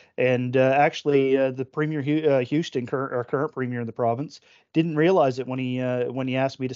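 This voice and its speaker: Someone talks very fast in a flat monotone. The speaker has a Nova Scotian accent. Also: man. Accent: Nova Scotian Canadian English. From Nova Scotia, Canada (Oxford, Cumberland County). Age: 40s. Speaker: provincial politician and retired fire chief. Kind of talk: casual interview. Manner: halting, many fillers.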